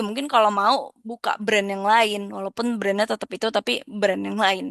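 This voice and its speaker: The sound is dry and close with no echo as a woman speaks at a fairly high pitch. Her tone is bright and sharp, her intonation fairly even, and her pace moderate. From Indonesia, Jakarta. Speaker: lecturer. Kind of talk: lecture. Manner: halting, many fillers.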